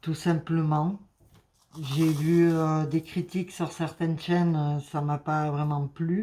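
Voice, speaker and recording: On a very clean recording with a silent background, a woman with a very deep, low voice and a dark, mellow tone speaks very slowly in a flat monotone. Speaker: crafting YouTuber. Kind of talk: casual vlog chat. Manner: hesitant, many fillers.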